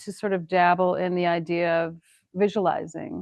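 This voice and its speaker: A woman speaks with an American accent. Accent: sounds a little more Canadian than American. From US Midwest, Wisconsin. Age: 60s. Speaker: painter. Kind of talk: casual chat.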